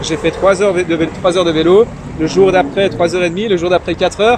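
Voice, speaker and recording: There is noticeable noise in the background. Through it, a man speaks. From Iran. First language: Persian (Farsi) (speaking French). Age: young. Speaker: young politician and entrepreneur. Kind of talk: casual interview. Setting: interview over drinks. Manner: hesitant, many fillers.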